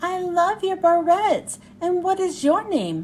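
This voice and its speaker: A woman puts on a squeaky character voice at an extremely high pitch, soft-spoken and at a fairly slow pace. Clear background noise sits behind her. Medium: read story.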